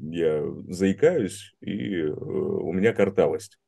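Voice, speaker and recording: A man speaks with a fairly low-pitched voice. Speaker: voice performer. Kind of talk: interview answers. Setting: video call. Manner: supported breath, resonant projection.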